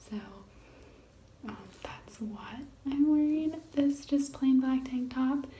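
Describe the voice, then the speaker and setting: A soft-spoken woman talks at a fairly slow pace. There is noticeable background noise. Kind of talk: ASMR makeup routine talk to camera.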